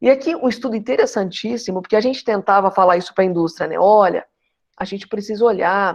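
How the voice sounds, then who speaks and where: The woman's voice sits at a medium pitch. She talks fairly quickly. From Brazil, interior of São Paulo state. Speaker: geriatrics professor. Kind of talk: lecture. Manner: fast.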